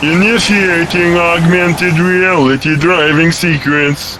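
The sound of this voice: Over clear background noise, a man does a cartoonish character voice at a high pitch and a fairly slow pace.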